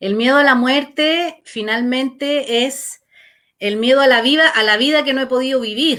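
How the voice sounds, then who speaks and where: A woman uses a raised, projected voice with a high pitch. Her pace is fairly slow, with ordinary pitch variation. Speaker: life coach / therapist hosting talk. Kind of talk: casual chat.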